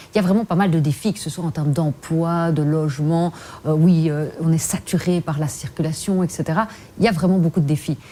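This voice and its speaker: Somewhat breathy and fairly low in pitch, a woman speaks at a fairly quick pace with ordinary pitch variation. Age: 40s. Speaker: politician. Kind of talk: TV interview.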